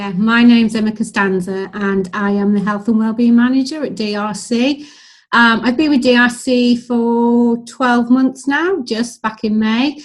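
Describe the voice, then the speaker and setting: A woman talks at a fairly slow pace. Her voice is fairly high and somewhat breathy. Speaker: health and wellbeing manager at a charity. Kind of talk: interview. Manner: frequent hesitations (um).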